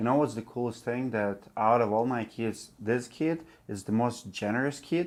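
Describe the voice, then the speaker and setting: A man talks at medium pitch with a non-native accent. The recording is very clean, with a silent background. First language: not English. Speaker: roofing business owner and channel host. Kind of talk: casual interview chat.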